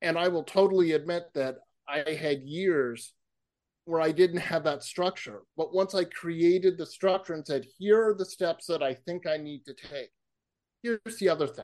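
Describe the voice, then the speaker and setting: A man with a high pitch and an American accent speaks at a moderate pace with big swings in loudness over a quiet background. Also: ordinary pitch variation. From Massachusetts. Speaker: author and public speaker, counselor. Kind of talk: interview conversation.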